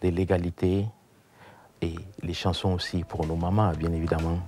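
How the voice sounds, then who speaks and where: A man with a West African accent, very deep and low-pitched, in a dark, mellow, flat monotone at a very slow pace. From Burkina Faso. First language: Dioula (speaking French). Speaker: musician. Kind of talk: interview.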